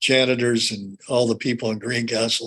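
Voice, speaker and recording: Speaking at a fairly quick pace, a man with a medium pitch uses monotone, flat intonation in a Midwestern American accent. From Indiana. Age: 70s. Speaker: former athlete and physical therapy clinic owner. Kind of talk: interview. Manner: halting, frequent word repetition.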